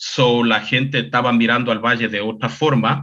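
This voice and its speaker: Here a man talks at a moderate pace. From Ecuador, Chota Valley (Afro-Ecuadorian). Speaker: cultural communicator and social media personality. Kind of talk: interview conversation. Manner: casual, with fillers and English 'so'.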